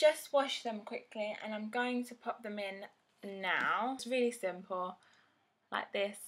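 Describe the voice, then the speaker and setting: A woman in a London accent speaks fairly slowly at a fairly high pitch, with ordinary pitch variation and big swings in loudness. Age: 20s. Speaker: beauty vlogger. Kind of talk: casual vlog tutorial.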